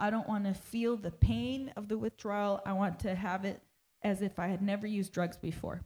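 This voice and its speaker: Talking at a fairly quick pace, a woman with a medium pitch has a dark, mellow tone and sounds somewhat breathy. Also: ordinary pitch variation. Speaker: pastor's wife and interpreter. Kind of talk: sermon interpreting. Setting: church.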